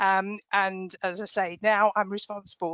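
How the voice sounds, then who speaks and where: A woman speaks with a British accent. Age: 60s. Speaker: payroll team manager. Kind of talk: panel introduction.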